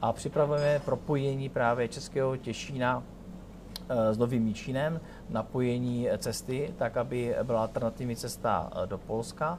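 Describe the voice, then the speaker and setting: An ordinary speaking voice is heard here. The pace is moderate, and the intonation stays fairly even. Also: man, medium pitch for a man. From Ostrava, Czech Republic. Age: 40s. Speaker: regional politician. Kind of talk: interview. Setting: restaurant in a tower.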